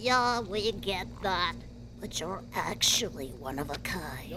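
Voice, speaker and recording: A female-sounding voice does a put-on character at a medium pitch for a woman. The pace is fairly slow, with loud background noise. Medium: audio drama.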